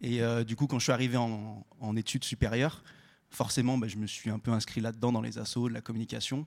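A man's monotone, flat delivery at a medium pitch and fairly quick pace, on a very clean recording with a silent background. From Saint-Étienne, France. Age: 20s. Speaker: record label project manager. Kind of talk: panel discussion. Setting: stage with audience.

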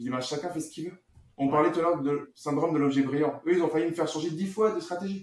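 This man talks at a very fast pace, his fairly high voice keeping a fairly even intonation. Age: 40s. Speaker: real estate investor and marketer. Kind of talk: casual interview. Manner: halting, many fillers.

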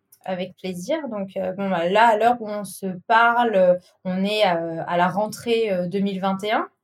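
At a very slow pace, the voice shows ordinary pitch variation and big swings in loudness. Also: woman, medium pitch for a woman. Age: 30s. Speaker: account manager. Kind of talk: casual interview.

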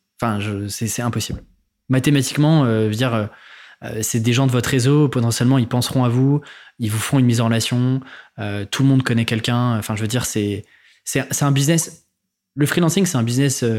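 On a very clean recording with a silent background, a man at a medium pitch speaks with fairly even intonation and long, frequent pauses. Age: 20s. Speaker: freelancing podcaster and author. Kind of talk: casual interview.

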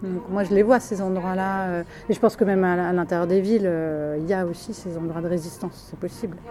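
A woman talks at a fairly quick pace with a medium pitch. Her intonation stays fairly even while her loudness swings widely. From southern France, Ardèche. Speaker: film director. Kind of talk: interview. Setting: café at a film festival. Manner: halting.

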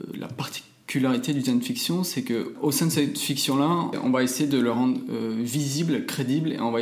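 A man talks fairly slowly, and audible room echo follows his words. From France, Toulouse. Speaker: architect and designer. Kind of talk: interview. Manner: hesitant, many fillers.

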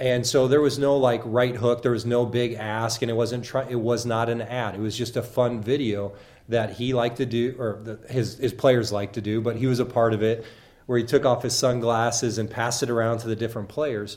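A man speaks with an American accent at a medium pitch. His pace is fairly quick and his intonation monotone and flat. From southern Illinois. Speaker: social media influencer and university marketer. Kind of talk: interview. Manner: hesitant, many fillers.

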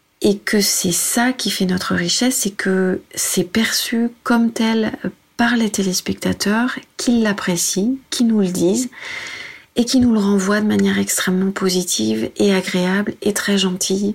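At a fairly slow pace, a woman speaks at a medium pitch, somewhat breathy, with fairly even intonation and very even loudness. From France, Senlis (Oise). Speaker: TV news presenter. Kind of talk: interview.

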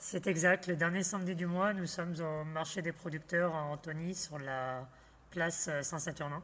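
A man speaks at a high pitch with a bright, sharp tone. His pace is fairly slow. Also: fairly even intonation. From Île-de-France, France. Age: 30s. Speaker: farmer. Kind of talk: radio interview. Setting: on the farm.

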